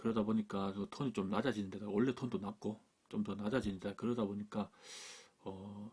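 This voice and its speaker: A man speaks quietly at a fairly quick pace, his fairly low voice monotone and flat. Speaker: camera gear YouTuber. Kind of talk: product review. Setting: indoors at home desk. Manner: speaks quietly, low.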